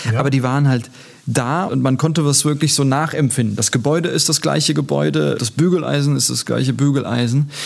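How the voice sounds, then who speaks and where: Against noticeable background noise, a man speaks at a fairly quick pace in a fairly high pitch with fairly even intonation. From Germany, Turkish guest-worker family. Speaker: politician. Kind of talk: interview.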